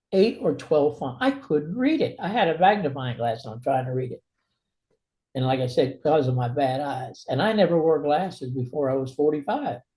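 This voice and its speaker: Speaking at a moderate pace with an American accent, a man has a fairly high pitch, lively intonation and a dark, mellow, somewhat breathy tone. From New York City, Brooklyn. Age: 80s+. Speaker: author. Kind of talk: interview.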